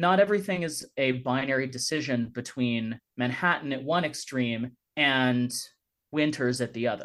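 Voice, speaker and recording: A man's plain, everyday voice, medium in pitch, with an American accent and a moderate pace. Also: ordinary pitch variation. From Northern California, Davis. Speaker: author and lawyer. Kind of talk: radio interview. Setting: video call. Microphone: professional recording setup.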